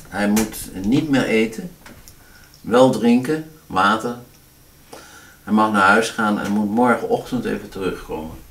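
There is light background noise as a man talks at a very slow pace with ordinary pitch variation. He leaves long, frequent pauses. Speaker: doctor. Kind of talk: medical consultation. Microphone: camera far.

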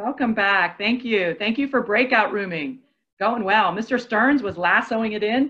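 A woman's fairly high-pitched voice at a moderate pace over a quiet background. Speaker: workshop co-facilitator. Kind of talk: online professional development workshop. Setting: video call. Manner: upbeat, warm. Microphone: earbuds.

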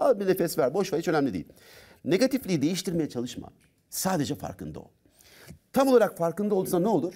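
Against a quiet background, a man with a dark, mellow tone talks very fast at a high pitch, with lively intonation, big swings in loudness and long, frequent pauses. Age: 50s. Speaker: doctor and personal development trainer; personal development trainer. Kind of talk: talk show interview. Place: studio. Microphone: lapel.

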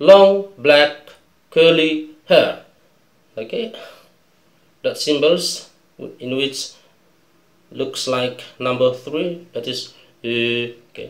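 Speaking with an Indonesian accent at a very slow pace, a man uses lively intonation, big swings in loudness and long, frequent pauses, with audible room echo around him. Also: fairly high pitch for a man. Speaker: English teacher. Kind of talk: tutorial.

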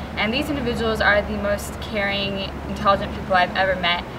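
Noticeable background noise sits behind a woman with an American accent who speaks at a fairly quick pace and a medium pitch with fairly even intonation. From California. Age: young. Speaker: college student. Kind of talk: testimonial. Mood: warm, sincere. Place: open country.

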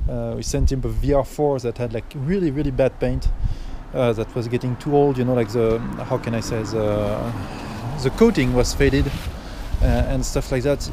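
With noticeable background noise yet a dry sound with no echo, a man talks at a moderate pace with fairly even intonation and long, frequent pauses. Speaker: car seller or reviewer. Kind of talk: casual walk-around commentary. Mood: relaxed, laughing at times. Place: street. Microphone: phone near.

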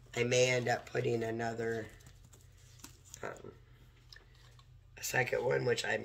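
A woman's croaky, hoarse voice with vocal fry, extremely low pitch and fairly slow pace

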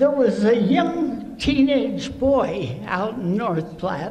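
Strong room echo surrounds a woman with a slightly mellow tone. Her intonation is lively and her pace very slow.

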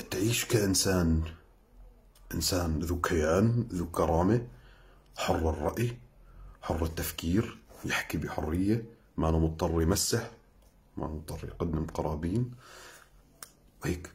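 Very deep and low in pitch, a man's somewhat breathy voice moves at a fairly slow pace with ordinary pitch variation and long, frequent pauses. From Syria. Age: young. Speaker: Syrian activist; social media commentator. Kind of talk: sarcastic video commentary. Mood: scornful, lecturing, indignant. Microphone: phone near.

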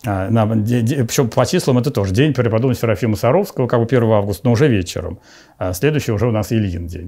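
Against a quiet background, a man with a dark, mellow tone speaks very fast, with ordinary pitch variation. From Moscow region, Russia. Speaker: bishop. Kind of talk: interview testimony. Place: home room.

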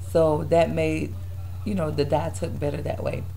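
Over noticeable background noise, the words arrive at a fairly slow pace. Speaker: hair vlogger. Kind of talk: casual hair tutorial vlog. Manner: casual, chatty.

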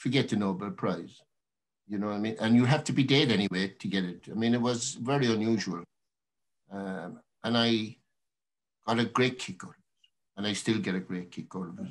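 Talking at a moderate pace in a Cork accent, a man uses lively intonation. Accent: Irish, Cork. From Ireland. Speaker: poet. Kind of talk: talk between poems at a reading. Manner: casual, hesitant. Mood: warm, reflective. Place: home room. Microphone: webcam.

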